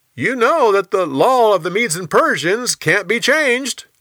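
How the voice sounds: A man's high-pitched put-on character voice, bright and sharp in tone, with big pitch swings at a fairly slow pace.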